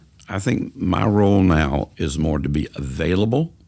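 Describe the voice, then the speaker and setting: A man talks with a very deep, low voice and vocal fry. His intonation is lively. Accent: coastal Georgia. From US South, Savannah, Georgia. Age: 70s. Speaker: community organizer. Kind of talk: podcast interview.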